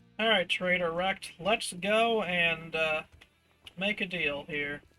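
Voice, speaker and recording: With music in the background, the voice moves at a very slow pace with ordinary pitch variation. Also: man, high pitch for a man. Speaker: gaming streamer. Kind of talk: live gameplay commentary. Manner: casual, with fillers.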